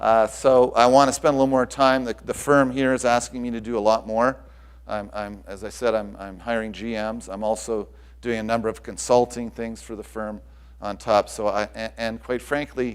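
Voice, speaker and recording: Moving at a moderate pace, the man speaks in a medium pitch with fairly even intonation and big swings in loudness. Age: 60s. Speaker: tennis club director and executive recruiter. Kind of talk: conference presentation. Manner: halting, many repetitions.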